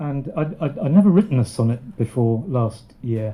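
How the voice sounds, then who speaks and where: This man's voice sits at a medium pitch and sounds somewhat breathy. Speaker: poet. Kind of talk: poem performed. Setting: live audience.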